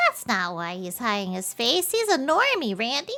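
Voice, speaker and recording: Using a put-on character voice, a woman speaks in a cheerful tone at a high pitch and a moderate pace. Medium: game stream. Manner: casual, cheerful.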